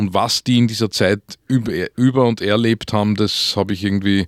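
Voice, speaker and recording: In an Upper Austrian accent, a man talks with fairly low pitch and fairly even intonation. The recording is very clean with a silent background, dry and close with no echo. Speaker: author. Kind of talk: radio interview. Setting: studio. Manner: halting.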